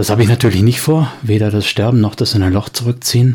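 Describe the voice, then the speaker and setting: A man at a moderate pace, fairly low in pitch with fairly even intonation, over noticeable background noise. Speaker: podcast host. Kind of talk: angry rant, unscripted monologue aimed at trolls. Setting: home recording, uncut. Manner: irate, sarcastic, clipped and fed up; firm, emphatic, then curt at the end.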